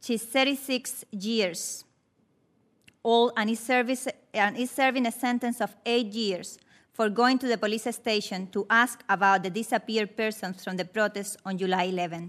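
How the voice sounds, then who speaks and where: A woman speaks with a Spanish accent at a fairly high pitch, her intonation fairly even. The recording is very clean, with a silent background. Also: moderate pace. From Cuba. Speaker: Cuban rights advocate, witness. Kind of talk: prepared testimony at hearing.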